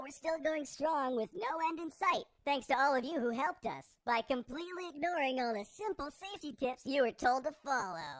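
This is a cartoonish character voice with a high pitch. It moves at a fairly quick pace. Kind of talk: public service announcement parody. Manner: chipper, salesman-like, smug.

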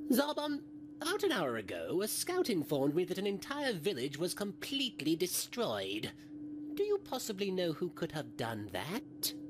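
A man with a high pitch speaks at a moderate pace over clear background noise. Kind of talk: comic parody voice acting. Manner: smug, sarcastic, coldly condescending.

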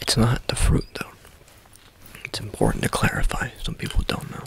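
A man whispering at a moderate pace, with big swings in loudness, in a dry sound with no echo over light background noise. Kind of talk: ASMR roleplay chat. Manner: close intimate whisper. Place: home room. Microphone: phone near.

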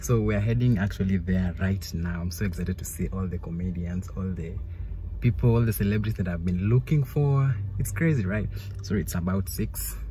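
Fairly quick speech comes through with a dry, echo-free sound and light background noise. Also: man, very deep, low pitch for a man. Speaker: vlogger. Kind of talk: casual vlog chat. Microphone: phone near.

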